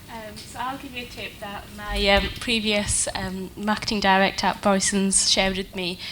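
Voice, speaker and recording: A soft-spoken woman with a medium pitch and fairly even intonation talks over noticeable background noise. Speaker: marketing professional, panellist. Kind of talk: panel discussion. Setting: conference stage with audience.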